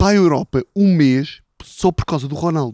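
A man's voice with lively intonation, dry with no echo, against a quiet background. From Portugal, interior. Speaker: football podcast host. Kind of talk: casual chat. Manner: animated storytelling. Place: garden. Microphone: handheld.

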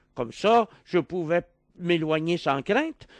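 Speaking at a very slow pace, a man with a Quebec accent uses a high pitch and lively intonation. The sound is dry with no echo, over a quiet background. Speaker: philosopher; interview guest. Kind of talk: radio interview. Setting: radio studio. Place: studio. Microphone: studio mic.

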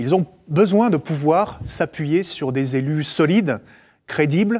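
Over a quiet background, a man talks at a very slow pace. His pitch is fairly high and his intonation lively. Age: 40s. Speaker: politician; candidate. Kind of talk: campaign interview. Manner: hesitant with frequent fillers. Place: studio. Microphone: lapel.

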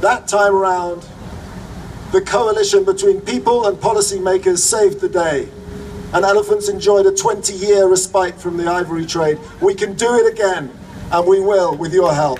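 The speech moves at a moderate pace with fairly even intonation. Light background noise is present. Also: man, high pitch for a man. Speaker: conservation organization operations chief and speaker. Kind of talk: rally speech to a crowd. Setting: outdoor rally with crowd. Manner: occasionally halting with fillers and repeats. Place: street.

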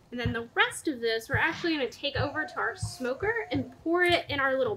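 A woman's raised, projected voice at a very fast pace, with very wide pitch swings over light background noise. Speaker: cooking show host. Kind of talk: cooking tutorial. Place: garden. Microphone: camera far.

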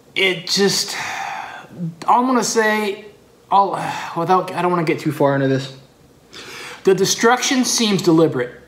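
A man with an American accent, high-pitched, fairly bright in tone and lively in intonation, at a moderate pace with long, frequent pauses and audible room echo.

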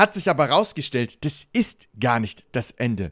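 A man speaks with vocal fry and very wide pitch swings. The background is quiet. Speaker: gaming streamer. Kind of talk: casual gaming commentary. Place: home room. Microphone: studio mic.

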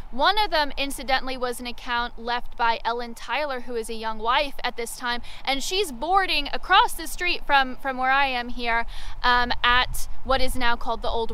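The voice is raised and projected, with a bright, sharp tone and lively intonation. It moves at a moderate pace, and the sound is dry with no echo. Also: woman. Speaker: local history guide. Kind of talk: outdoor walking-tour history storytelling. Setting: outdoors on location. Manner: vivid dramatic storyteller, leans into battle anecdotes; conversational with frequent 'um' fillers. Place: open country. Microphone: phone near.

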